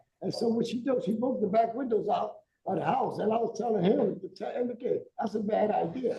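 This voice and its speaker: A man speaks at a fairly quick pace in an extremely high voice with ordinary pitch variation. Audible room echo surrounds him. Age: 70s. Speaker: defendant. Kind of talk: court testimony. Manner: halting, repetitive.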